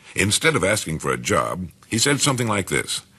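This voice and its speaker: In an American accent, a voice with a bright, sharp tone and vocal fry moves at a fairly quick pace through very wide pitch swings. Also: man. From United States. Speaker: radio broadcaster. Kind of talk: motivational spoken-word recording.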